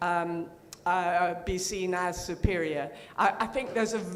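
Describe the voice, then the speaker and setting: In a room with audible echo, a woman speaks at a fairly slow pace. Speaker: audience member asking question. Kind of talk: conference Q&A. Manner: halting, many fillers.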